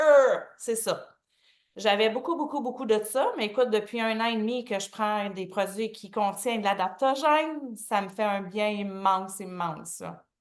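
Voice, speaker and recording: In a Quebec accent, a woman speaks at a moderate pace and a fairly high pitch. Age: 50s. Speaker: testimonial guest. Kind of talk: testimony.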